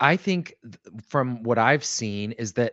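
A man at medium pitch and a fairly slow pace, an unremarkable speaking voice. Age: 30s. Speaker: financial advisor. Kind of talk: casual chat.

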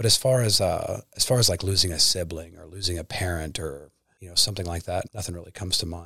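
At a very fast pace, a man with a Midwestern American accent speaks in a very deep, low voice with a bright, sharp tone and ordinary pitch variation. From Kansas. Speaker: former prisoner and pro fighter. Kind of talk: testimony.

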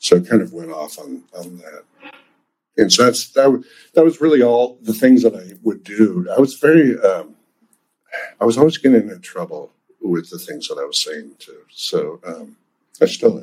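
Keeping a moderate pace, a man speaks with big swings in loudness and long, frequent pauses. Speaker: animation creator. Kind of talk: interview. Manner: halting.

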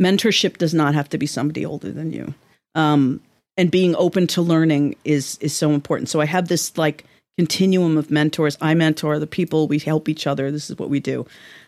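Fairly quick and fairly even in intonation, a woman with an American accent and a very deep, low pitch speaks in a dry, close sound with no echo. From New York City (Manhattan). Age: 50s. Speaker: novelist. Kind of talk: interview. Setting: office.

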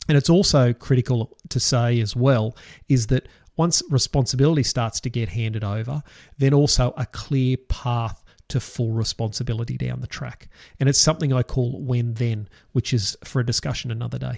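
A somewhat breathy man in a dry, close sound with no echo. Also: medium pitch for a man, ordinary pitch variation, moderate pace. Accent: Australian. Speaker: financial advisor podcast host. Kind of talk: solo podcast talk.

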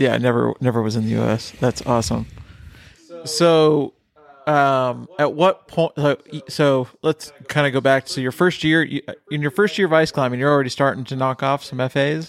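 A man with an unremarkable speaking voice and fairly high pitch talks at a moderate pace with ordinary pitch variation in a dry, close sound with no echo. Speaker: podcast host and ice climbing instructor. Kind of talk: casual interview chat. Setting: in-person sit-down interview at a festival. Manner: frequent filler words, uh and um. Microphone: slight echo in the recording.

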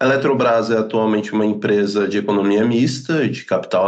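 A man talks with ordinary pitch variation. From Florianópolis, southern Brazil. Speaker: energy company account executive. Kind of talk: interview explanation.

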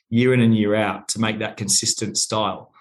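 The speaker has an Australian accent. Pitch variation is ordinary. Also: man. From Australia, Sydney. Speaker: wine company general manager. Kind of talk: interview.

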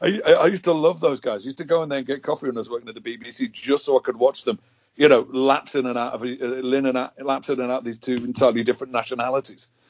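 In a Liverpool accent, a man talks very fast at a medium pitch with ordinary pitch variation. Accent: Scouse. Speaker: podcast host. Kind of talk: casual interview chat.

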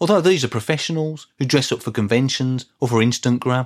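Speaking at a fairly quick pace, a man uses lively intonation. The recording is very clean and dry, close with no echo and a silent background. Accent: Birmingham. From Birmingham, England. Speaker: podcast host, music fan. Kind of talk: solo podcast monologue.

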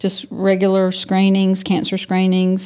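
A woman speaks with a Southern US accent in a dark, mellow tone. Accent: Southern US (Georgia). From US South, south Georgia. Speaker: physician. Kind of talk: interview. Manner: hesitant with many fillers.

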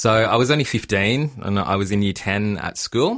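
Speaking with an Australian accent, a man has a fairly low pitch. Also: very clean recording, silent background. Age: 30s. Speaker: genetic counsellor. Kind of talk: interview answers, casual explanatory chat. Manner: hesitant, many fillers.

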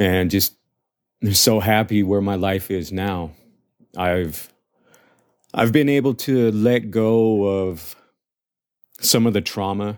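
The delivery is very slow, with long, frequent pauses and ordinary pitch variation. It is a very clean recording with a silent background. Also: man, fairly low pitch for a man. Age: 40s. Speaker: adoptee sharing personal story. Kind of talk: self-recorded testimony. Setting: self-recorded. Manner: halting, many repeated words.

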